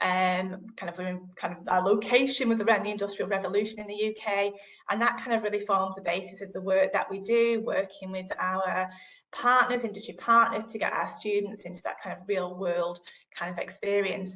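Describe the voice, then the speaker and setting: With a northern English accent, a woman speaks at a fairly quick pace and medium pitch, her intonation fairly even over a quiet background. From northern England. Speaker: digital library manager; panelist. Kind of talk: panel discussion. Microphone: video call.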